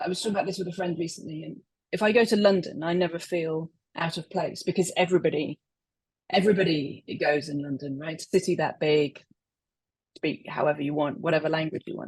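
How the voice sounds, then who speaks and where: A somewhat breathy woman at a fairly low pitch, fairly quick in pace, with big swings in loudness and ordinary pitch variation. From England, West Midlands. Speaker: poet. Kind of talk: interview.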